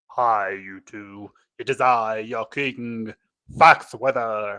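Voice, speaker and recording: Against a quiet background, a put-on character voice speaks very slowly with fairly even intonation. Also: man, medium pitch for a man. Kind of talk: regal, formal.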